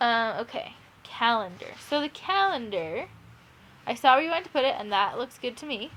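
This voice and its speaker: A woman speaks at a fairly quick pace with a high pitch and very wide pitch swings. Long, frequent pauses break up her speech. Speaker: teacher. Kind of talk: tutorial. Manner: fast; casual, hesitant with fillers.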